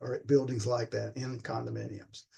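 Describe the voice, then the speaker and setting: Speaking at a moderate pace with a South Carolina accent, a man has a dark, mellow tone. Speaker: flooring industry presenter on sound control. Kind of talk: lecture. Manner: repetitive, stammering on words.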